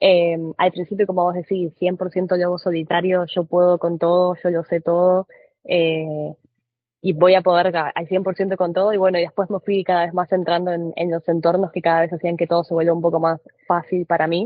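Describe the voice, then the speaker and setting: A woman's fairly low, monotone voice with flat intonation, a fairly quick pace and an Argentine accent. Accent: Argentine Spanish (voseo). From Argentina. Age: 20s. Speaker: trader. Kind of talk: podcast interview.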